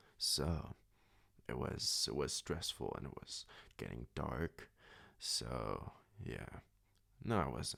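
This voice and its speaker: Soft-spoken and calm in tone, a man speaks at a very slow pace with long, frequent pauses. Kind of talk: sleep story; casual personal storytelling. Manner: calm, soft-spoken.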